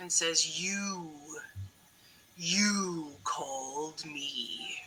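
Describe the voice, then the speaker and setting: The pitch stays in the middle range. It is a put-on character voice. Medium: actual play. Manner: imperious, commanding.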